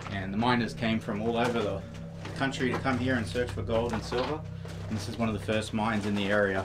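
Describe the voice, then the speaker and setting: With music in the background, a man delivers his words at a fairly quick pace. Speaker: guide of the mine exploration. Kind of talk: tour guide explanation. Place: tunnel cave.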